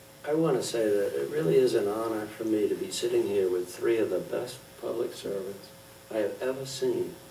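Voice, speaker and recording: Noticeable background noise and audible echo from the room accompany a man's speech. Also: fairly quick pace. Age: 70s. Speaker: local election candidate, planning board. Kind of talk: candidates forum closing remarks.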